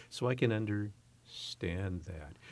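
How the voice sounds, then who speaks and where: A man with an American accent sounds somewhat breathy, using ordinary pitch variation on a very clean recording with a silent background. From US West Coast, San Francisco Bay Area. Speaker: university president. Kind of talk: interview.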